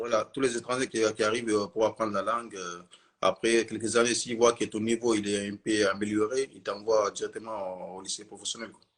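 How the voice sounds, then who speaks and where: Loudness swings widely as a man talks at a moderate pace, his medium pitch held in a monotone, flat intonation. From Mali. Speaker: witness of terror attack, shop worker. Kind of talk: interview. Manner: hesitant.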